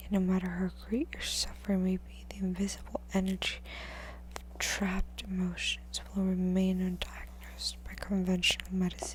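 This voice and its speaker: The speaker is soft-spoken. The pace is moderate. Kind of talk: book reading.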